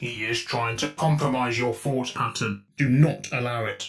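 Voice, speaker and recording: A man puts on a character voice at a medium pitch. He speaks at a moderate pace over faint background music. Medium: audio drama. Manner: flat, emotionless.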